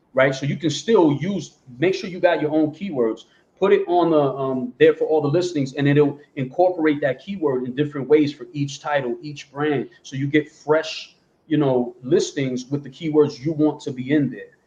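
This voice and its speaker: An American accent from a man, fairly high in pitch with ordinary pitch variation, a dark, mellow tone, a somewhat breathy quality, big swings in loudness and a moderate pace. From New Jersey and New York City, US East Coast. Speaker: print-on-demand seller, panelist. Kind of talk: casual panel discussion. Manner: animated.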